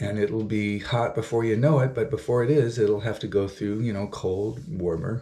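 The pace is fairly slow. The voice sounds somewhat breathy. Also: man. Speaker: vlogger. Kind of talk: casual vlog chat. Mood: upbeat, encouraging. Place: bathroom. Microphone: phone near.

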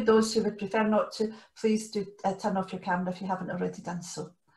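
A woman speaks with fairly even intonation in a somewhat breathy voice. The background is quiet, though audible room echo comes through. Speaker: co-leader hosting an online training session. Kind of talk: meeting housekeeping announcements. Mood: friendly and orderly. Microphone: video call.

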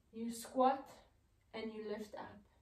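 Speaking at a very slow pace, a woman uses a high pitch and fairly even intonation. Audible room echo surrounds her voice. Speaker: movement therapist. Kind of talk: guided exercise tutorial. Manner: calm, instructive. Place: studio. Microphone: camera far.

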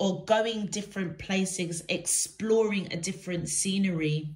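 Speaking very slowly, a woman lets her pitch vary in an ordinary way. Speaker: tarot reader. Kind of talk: tarot reading for viewers. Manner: hesitant, many fillers. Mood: warm, gentle, reassuring. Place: home room. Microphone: phone near.

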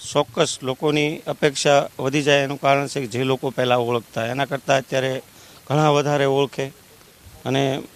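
Speaking in a monotone with flat intonation, a man with a fairly high pitch is heard in a dry recording with no echo. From Gujarat. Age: young. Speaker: politician. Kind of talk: interview. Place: open country. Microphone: handheld.

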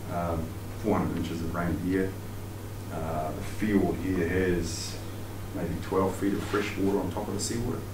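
Noticeable background noise sits behind a man whose very deep, low voice moves at a fairly slow pace in a monotone, flat delivery with long, frequent pauses. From New Zealand. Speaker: sports psychologist and outdoor education presenter. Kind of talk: lecture. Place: meeting room. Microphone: camera far.

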